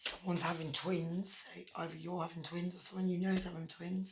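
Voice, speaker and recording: Somewhat breathy, a woman speaks at a moderate pace and fairly low pitch in a monotone, flat intonation. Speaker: tarot reader. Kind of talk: tarot reading. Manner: hesitant with fillers.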